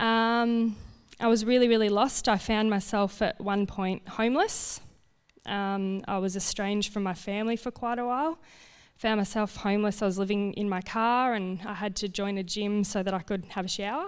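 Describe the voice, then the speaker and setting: On a very clean recording with a silent background, a medium-pitched woman with an Australian accent speaks at a moderate pace with fairly even intonation. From rural Victoria, Australia. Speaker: family violence counsellor. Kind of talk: testimony.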